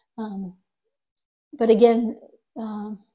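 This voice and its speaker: Her tone dark and mellow, a woman speaks at a fairly high pitch. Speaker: tarot reader. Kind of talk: tarot reading.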